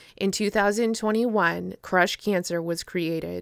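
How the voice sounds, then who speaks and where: A woman with an American accent in a dry, close sound with no echo. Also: very clean recording, silent background. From Maine, US (Down East coast). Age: 30s. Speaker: pageant contestant and lobster fisherman. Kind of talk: scripted narration. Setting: outdoors. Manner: formal.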